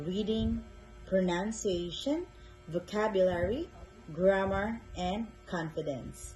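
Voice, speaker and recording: A woman's medium-pitched voice at a very slow pace, with ordinary pitch variation and music in the background. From Philippines. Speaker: English tutor. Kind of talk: tutor introduction video. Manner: slow, clear.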